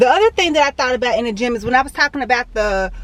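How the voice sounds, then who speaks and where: A woman speaks at a very fast pace in a high, bright and sharp voice, recorded dry and close with no echo. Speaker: fitness vlogger. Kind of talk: casual vlog monologue.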